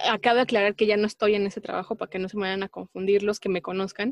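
A dry, close sound with no echo, in a Mexican accent. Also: woman. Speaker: podcast co-host. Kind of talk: casual chat.

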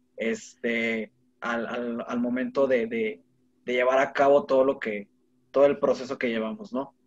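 A man speaks in a normal speaking voice at medium pitch. His pace is fairly slow and his pitch varies in an ordinary way. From Monterrey, Mexico. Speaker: podcaster. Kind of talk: casual chat.

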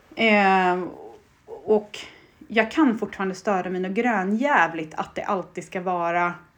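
A woman speaks at medium pitch and a fairly slow pace. Her pitch variation is ordinary. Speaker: podcast co-host. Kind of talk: casual chat. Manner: loud.

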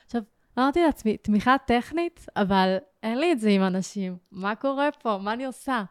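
A woman's unremarkable speaking voice, fairly high in pitch, with lively intonation at a moderate pace and a dry, close sound without echo. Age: 20s. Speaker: emotional therapist. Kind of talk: personal testimony.

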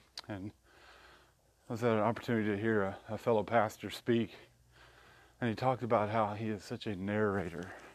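This man's voice sits fairly low and runs in a monotone, flat intonation at a fairly quick pace. Long, frequent pauses break it up against a quiet background. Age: 40s. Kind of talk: devotional talk. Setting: outdoors walking.

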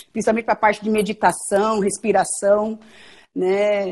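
This woman has a normal speaking voice, fairly high in pitch, and talks at a moderate pace. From Mato Grosso do Sul, Brazil. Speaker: physician. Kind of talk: casual interview.

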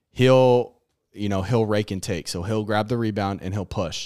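Speech moves along at a moderate speed. The recording is very clean and the background silent. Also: man. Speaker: podcast co-host. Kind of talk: casual banter podcast.

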